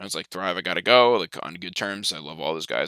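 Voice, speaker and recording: A man with an American accent talks very fast in a very deep, low voice with vocal fry and an animated tone. The sound is bright and sharp, dry and close with no echo. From New Jersey, Sussex County. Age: 20s. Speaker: fantasy sports streamer. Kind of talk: casual live stream chat. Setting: live stream. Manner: fast, animated.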